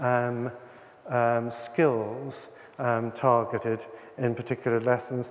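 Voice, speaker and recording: An Irish accent from a man, with noticeable background noise. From Ireland. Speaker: teacher trainer and author. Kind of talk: conference talk. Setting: conference hall with audience.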